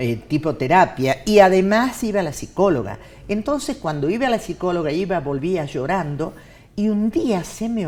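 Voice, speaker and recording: A woman's fairly low voice at a moderate pace, with very wide pitch swings. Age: 60s. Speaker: TV and radio announcer. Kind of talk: casual chat.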